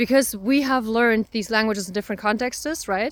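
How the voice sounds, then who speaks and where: The speaker has a Russian accent and moves at a fairly quick pace with ordinary pitch variation. The recording is very clean, with a silent background. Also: woman. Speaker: self-discovery coach. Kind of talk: personal reflection monologue. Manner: hesitant, many fillers.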